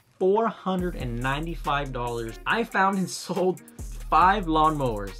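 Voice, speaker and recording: Faint music can be heard behind the voice. The speaker is a man. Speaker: reseller vlogger. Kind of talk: casual vlog chat. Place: home room. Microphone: studio mic.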